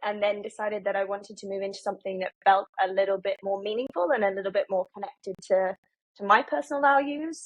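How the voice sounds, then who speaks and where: In a British accent, a woman speaks at a fairly quick pace. Her pitch sits fairly high. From UK. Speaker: marketing executive. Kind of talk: podcast interview. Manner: many filler ums.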